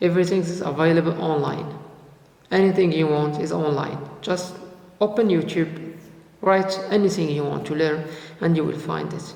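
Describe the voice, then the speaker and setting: A man talks at a high pitch with fairly even intonation and a fairly slow pace. Noticeable background noise and audible room echo fill the recording. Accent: non-native. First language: not English. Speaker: youtuber, freelancer. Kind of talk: motivational vlog. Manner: halting, many fillers and repetitions.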